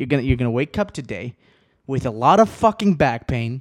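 Recorded very cleanly against a silent background, with a dry, close sound and no echo, a man speaks with very wide pitch swings. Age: 20s. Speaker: solo podcast host. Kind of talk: casual chat. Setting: home video recording. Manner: fast.

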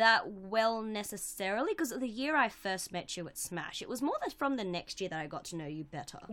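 A woman with an Australian accent talks at a fairly quick pace with hardly any pauses, very wide pitch swings and a bright, sharp tone. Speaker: podcast co-host. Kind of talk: casual chat. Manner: loud.

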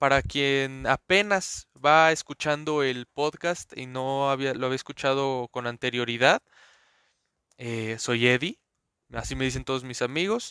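Heard dry and close with no echo, a man talks at a fairly slow pace and medium pitch with ordinary pitch variation. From Mexico City. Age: 20s. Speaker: podcaster. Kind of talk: casual monologue. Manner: animated.

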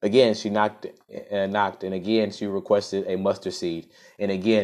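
The clip is delivered in an unforced reading voice.

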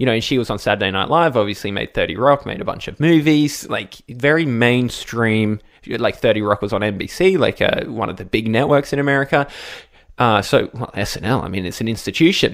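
Talking at a fairly quick pace, a man with an Australian accent uses a medium pitch and lively intonation. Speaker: radio presenter and podcast co-host. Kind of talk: casual chat, podcast recap.

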